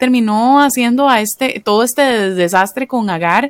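A woman with a Costa Rican accent speaks in a fairly high pitch with lively intonation, the sound dry and close with no echo. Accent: Costa Rican, with the typical Costa Rican R. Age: 30s. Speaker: biblical counselor. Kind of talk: podcast interview, advice on faith and marriage.

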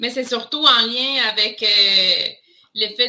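A woman with a Spanish accent, speaking at a very slow pace. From Colombia. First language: Spanish (speaking French). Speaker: nonprofit education program manager. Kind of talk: interview.

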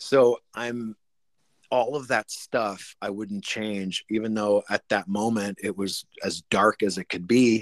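With a Canadian accent, the speaker talks at a very slow pace using fairly even intonation. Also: man, fairly low pitch for a man, dry, close sound with no echo. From Canada. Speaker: rock drummer. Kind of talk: interview.

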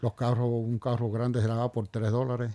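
The tone is dark and mellow. Intonation stays monotone and flat. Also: man. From Puerto Rico, barrio Río Arriba. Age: 70s. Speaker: retired police officer and businessman. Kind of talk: interview.

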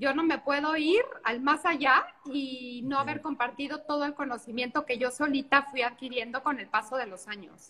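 A woman projects a raised voice at high pitch, her tone bright and sharp, with hardly any pauses. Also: ordinary pitch variation, moderate pace. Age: 40s. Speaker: pastry chef and TV cook. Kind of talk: casual cooking demonstration chat. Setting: video call from a beach house.

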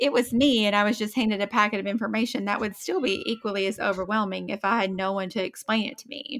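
A woman with an Appalachian accent, fairly high pitch, bright, sharp tone, ordinary pitch variation and a fairly quick pace, on a very clean recording with a silent background. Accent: Appalachian Southern US. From Eastern Kentucky, Appalachia. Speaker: podcast co-host, military spouse. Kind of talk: casual chat.

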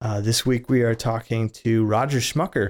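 Recorded very cleanly against a silent background, a man with an ordinary speaking voice speaks at a moderate pace, medium pitch and fairly even intonation. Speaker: podcast host. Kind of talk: casual interview and prayer.

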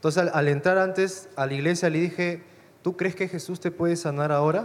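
This man has a plain, everyday voice, talking at a fairly quick pace with ordinary pitch variation. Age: 20s. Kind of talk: testimony.

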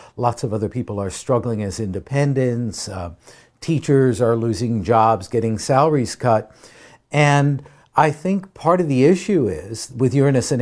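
Speaking at a moderate pace, a man has a normal speaking voice at medium pitch. His intonation is lively. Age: 60s. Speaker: astrologer and author. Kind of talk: interview. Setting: conference.

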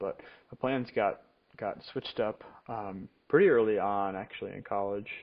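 A man talks with an American accent at a moderate pace. His voice is fairly low in pitch. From US Midwest, Rockford, Illinois. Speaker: college student and church worship leader. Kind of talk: casual personal monologue. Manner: hesitant, many fillers and repetitions.

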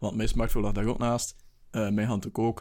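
With a Flemish accent, a man speaks at a medium pitch and ordinary pitch variation. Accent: Flemish Dutch. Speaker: podcast co-host. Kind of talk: casual chat.

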